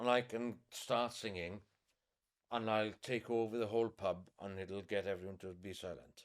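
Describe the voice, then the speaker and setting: Fairly low in pitch, a man speaks with a Welsh accent at a moderate pace. His intonation stays fairly even. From West Wales, Pembrokeshire. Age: 20s. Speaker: local tradition singer. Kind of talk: interview. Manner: halting.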